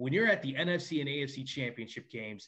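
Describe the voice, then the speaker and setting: Speaking at a moderate pace, a man with an American accent has a normal speaking voice, medium pitch and ordinary pitch variation. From New York. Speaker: podcast co-host, sports journalist. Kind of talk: casual interview chat.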